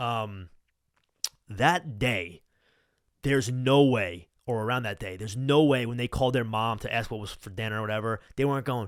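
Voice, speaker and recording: In a Long Island accent, a man at a medium pitch speaks at a moderate pace with an animated tone and big swings in loudness. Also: ordinary pitch variation. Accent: Long Island New York. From Long Island, New York. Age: 20s. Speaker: podcast host. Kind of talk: casual chat. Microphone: new mic.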